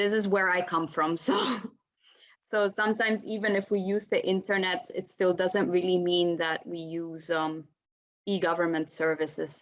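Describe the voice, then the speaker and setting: Speaking at a moderate pace with an Italian accent, a woman keeps a medium pitch and fairly even intonation. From Italy. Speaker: panelist. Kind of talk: panel discussion.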